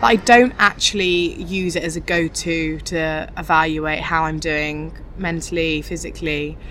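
Noticeable background noise sits behind a woman speaking. She goes at a fairly slow pace with hardly any pauses. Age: 20s. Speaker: fashion editor. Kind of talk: casual chat. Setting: outdoors.

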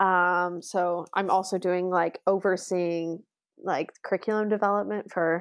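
In a normal speaking voice, a woman talks at a fairly low pitch with fairly even intonation, the sound dry and close with no echo against a quiet background. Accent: American. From US, Las Vegas, Nevada. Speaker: primary school teacher. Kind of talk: interview.

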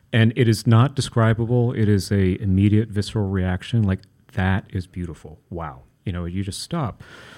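A man with an American accent speaks in a fairly low, dark and mellow voice with ordinary pitch variation, on a very clean recording with a silent background. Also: moderate pace. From Kentucky, US. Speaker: architect and preservationist. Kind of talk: interview. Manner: hesitant, many fillers.

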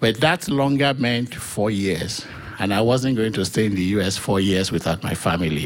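Noticeable background noise accompanies a man speaking at a fairly slow pace. His pitch is fairly low with ordinary variation. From Nigeria. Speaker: church member giving testimony. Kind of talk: testimony.

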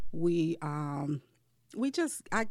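In an American accent, a woman with a very deep, low pitch and vocal fry speaks with lively intonation on a very clean recording with a silent background. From Detroit, Michigan. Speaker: bridal shop owner. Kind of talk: casual interview.

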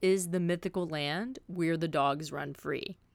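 In a very clean recording with a silent background, the voice has a Southern US accent and ordinary pitch variation. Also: woman. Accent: Southern US (Georgia). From US South, south Georgia. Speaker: podcast host. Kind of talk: podcast intro monologue. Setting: fishing shack.

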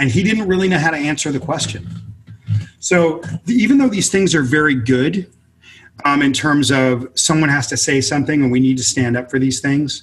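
A man with an American accent speaks at a moderate pace in a fairly high, somewhat breathy voice with ordinary pitch variation. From US West Coast, inner-city Los Angeles. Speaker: author and multimedia consultant. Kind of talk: interview conversation.

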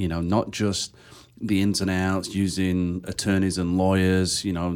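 Speaking at a moderate pace with an English accent, a man has a very deep, low voice, heard in a very clean recording with a silent background. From England. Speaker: real estate investor. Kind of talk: casual chat. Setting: studio.

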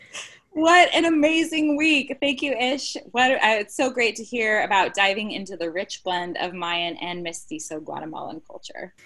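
A woman speaks with hardly any pauses in a high voice, with very wide pitch swings and big swings in loudness. There is noticeable background noise. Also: moderate pace. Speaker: podcast host. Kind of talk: podcast hosting.

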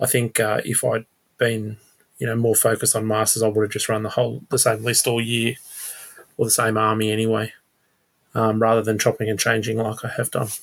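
A man with an Australian accent, fairly quick pace, medium pitch, monotone and flat intonation, and long, frequent pauses. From Sydney, Australia. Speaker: tabletop wargamer. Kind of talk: casual chat.

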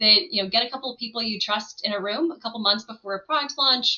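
A woman speaks at a fairly high pitch. Her pace is very fast. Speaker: edtech product and marketing leader. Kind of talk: interview conversation.

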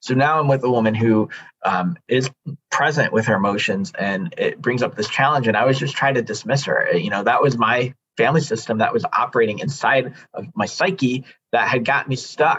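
A normal speaking voice from a man, medium in pitch with ordinary pitch variation, in an American accent at a fairly quick pace. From Chicago area, US Midwest. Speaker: men's coach and consultant. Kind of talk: personal testimony in interview.

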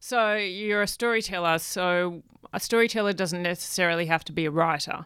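A woman with an Australian accent speaks in a bright, sharp tone with ordinary pitch variation. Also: medium pitch for a woman, very clean recording, silent background. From Australia, Perth. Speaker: film director and writer. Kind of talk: interview conversation. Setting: radio studio.

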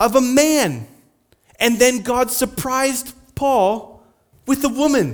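Long, frequent pauses break up a man's speech, delivered at an extremely high pitch. His loudness stays very even, with ordinary pitch variation. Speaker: pastor. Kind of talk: sermon. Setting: church. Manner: fast.

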